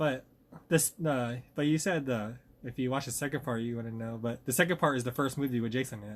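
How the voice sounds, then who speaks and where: The pace is fairly quick, with ordinary pitch variation. It is an ordinary speaking voice. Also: man, medium pitch for a man. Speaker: podcast co-host. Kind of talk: casual chat. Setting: at a friend's house, near garage.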